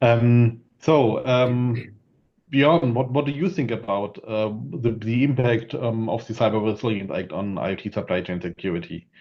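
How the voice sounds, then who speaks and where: Speaking with a German accent, a man talks at a moderate pace and medium pitch with ordinary pitch variation. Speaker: panel moderator. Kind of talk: panel discussion. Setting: video call. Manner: halting.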